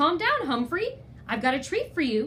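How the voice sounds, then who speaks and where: A woman puts on a character voice with a high pitch. She keeps a moderate pace over clear background noise. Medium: read story.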